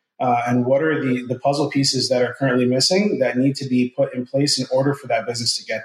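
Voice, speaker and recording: A somewhat breathy man of medium pitch with an American accent, very fast pace, hardly any pauses and fairly even intonation. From New Jersey, US. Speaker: recruiting firm owner. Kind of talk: interview.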